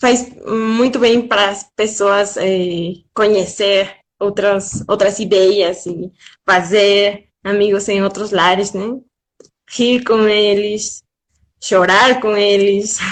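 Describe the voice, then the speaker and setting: Speaking with a slight Spanish accent, a woman of medium pitch talks at a very slow pace in a monotone, flat intonation. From Mexico. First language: Spanish (speaking Portuguese). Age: young. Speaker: guest. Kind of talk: casual chat. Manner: careful pronunciation.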